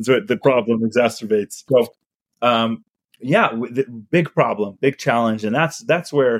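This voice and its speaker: A man with an American accent in a normal speaking voice, medium pitch and ordinary pitch variation, fairly slow pace, dry, close sound with no echo. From US (Utah), with childhood years in Chile. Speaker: startup founder and CEO. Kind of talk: interview conversation.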